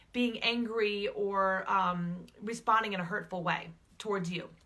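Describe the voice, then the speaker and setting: A woman speaks loudly in a bright, sharp tone. Her pitch varies in an ordinary way. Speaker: relationship coach and public speaker. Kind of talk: talking-head advice video. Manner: conversational with filler words.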